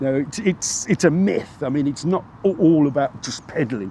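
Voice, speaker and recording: A man with a British accent speaks in a fairly high pitch with lively intonation. Noticeable background noise runs under his voice. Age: 60s. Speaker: interviewee, road accident survivor. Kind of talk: casual chat. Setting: outdoors on a park bench. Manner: halting, many repetitions.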